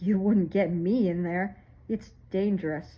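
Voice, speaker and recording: A put-on character voice at middle pitch and a fairly slow pace. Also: female-sounding voice. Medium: read story. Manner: casual, slangy.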